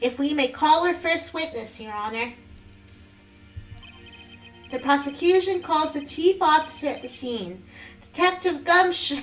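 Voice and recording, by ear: Using a put-on character voice, a woman speaks nasally in a high pitch at a moderate pace, leaving long, frequent pauses while clear music plays in the background.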